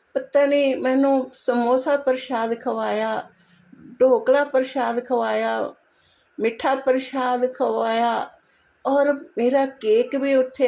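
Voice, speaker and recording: A woman's high-pitched voice, dark and mellow in tone, with fairly even intonation, on a very clean recording with a silent background. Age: 70s. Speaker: devotee sharing gratitude. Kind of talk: devotional testimony. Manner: repetitive, devotional.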